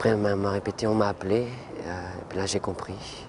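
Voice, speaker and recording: A man's fairly low, monotone, flat voice at a moderate pace, with noticeable background noise. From French Antilles. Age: 20s. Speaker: lung transplant patient. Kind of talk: testimony. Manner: halting.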